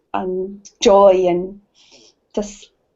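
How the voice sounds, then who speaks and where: In flat, monotone intonation, a woman speaks at a medium pitch. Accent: Scottish. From Scotland. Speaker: participant in women's circle. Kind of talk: sharing in online group circle. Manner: halting.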